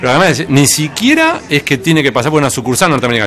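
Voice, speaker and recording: Noticeable background noise sits behind a man's fairly high voice. He talks at a very fast pace. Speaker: interviewer. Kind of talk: interview.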